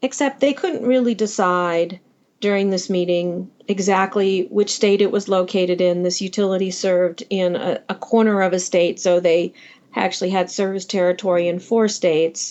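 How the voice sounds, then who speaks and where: With an ordinary speaking voice, a woman of medium pitch talks at a moderate pace. Her intonation is fairly even and her loudness very even. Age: 60s. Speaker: electrical engineer. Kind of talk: interview storytelling.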